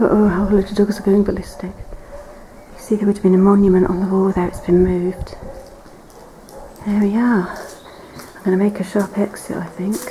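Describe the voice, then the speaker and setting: A woman speaks quietly at a medium pitch in a flat monotone, with long, frequent pauses, big swings in loudness and noticeable background noise. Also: moderate pace. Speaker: urban explorer vlogger. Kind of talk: exploration walkthrough narration. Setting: inside and around an abandoned church. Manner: quiet, hushed.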